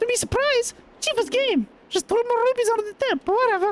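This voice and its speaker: Putting on a squeaky character voice, a man rattles along at a very fast pace. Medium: game stream. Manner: slangy, casual.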